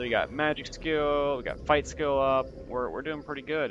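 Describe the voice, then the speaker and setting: Music plays in the background as a man speaks at a fairly slow pace. His pitch is fairly high, and his intonation is fairly even. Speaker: gaming video creator. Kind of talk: gameplay commentary. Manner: hesitant, many fillers.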